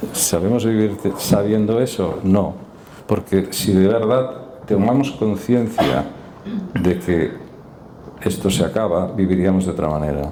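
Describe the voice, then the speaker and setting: Amid noticeable background noise and audible room echo, a man with a fairly low pitch and ordinary pitch variation speaks at a fairly slow pace with long, frequent pauses. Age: 60s. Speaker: doctor giving talk on stress and neuropsychiatry. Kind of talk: public talk and discussion.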